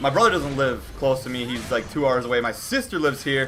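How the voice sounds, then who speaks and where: Over music in the background, a man speaks in a medium-pitched voice with ordinary pitch variation. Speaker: YouTuber, toy review channel host. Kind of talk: casual vlog Q&A.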